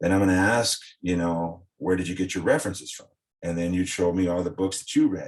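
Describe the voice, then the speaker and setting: Speaking at a fairly quick pace, a man with a very deep, low pitch comes through on a very clean recording with a silent background. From South Texas. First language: Spanish. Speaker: former coaching client, ex-fighter. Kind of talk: casual interview chat. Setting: podcast interview.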